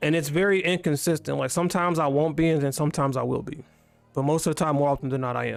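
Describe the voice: Over music in the background, a man with a fairly high pitch speaks at a very fast pace with fairly even intonation.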